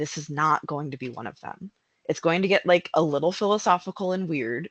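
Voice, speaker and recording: Someone with an American accent speaks at a fairly quick pace against a quiet background. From United States. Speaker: narrative designer. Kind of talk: conference talk.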